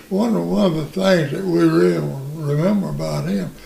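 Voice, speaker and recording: Very wide pitch swings at a moderate pace in a Southern US accent, over noticeable background noise. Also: man. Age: 80s. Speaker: elderly relative telling family stories. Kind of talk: casual interview storytelling.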